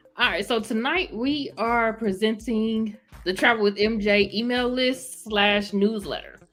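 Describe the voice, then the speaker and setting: Over music in the background, a woman speaks fairly slowly at a fairly high pitch with ordinary pitch variation. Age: 30s. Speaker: college educator and travel business owner. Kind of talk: interview.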